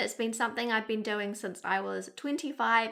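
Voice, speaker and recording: On a very clean recording with a silent background, a woman with a New Zealand accent talks at a fairly high pitch with ordinary pitch variation. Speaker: beauty vlogger. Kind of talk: casual talk-to-camera advice.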